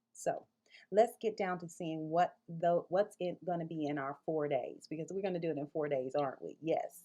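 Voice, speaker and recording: A woman's fairly low-pitched voice in an American accent, dark, mellow and warm in tone, with ordinary pitch variation. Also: moderate pace. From Mississippi. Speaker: early childhood director trainer. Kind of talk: online course introduction. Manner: warm, conversational with fillers.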